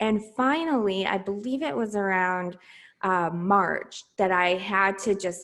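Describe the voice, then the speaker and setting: A woman is speaking. The background is quiet. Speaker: podcast host, military spouse. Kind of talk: interview answer. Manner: upbeat, encouraging.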